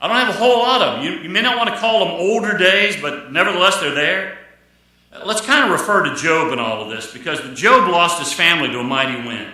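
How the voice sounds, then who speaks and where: With audible room echo, a man speaks at a very fast pace in a raised, projected voice, his high pitch making very wide swings. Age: 60s. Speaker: pastor. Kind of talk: sermon. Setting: church. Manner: repetitive, restarts phrases.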